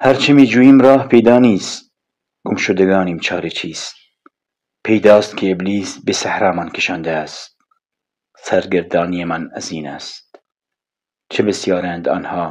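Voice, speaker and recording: With a Kurdish accent, a man speaks at a fairly slow pace in a very deep, low voice, his pitch varying in an ordinary way. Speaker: audiobook narrator. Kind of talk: audiobook reading of a novel.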